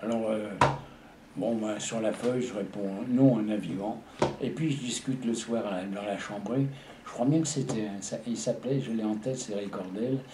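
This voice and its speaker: A man speaks at a moderate pace and medium pitch with ordinary pitch variation, leaving long, frequent pauses, while noticeable background noise and audible room echo fill the recording. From Paris region, France. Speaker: war veteran. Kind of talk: testimony. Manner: halting.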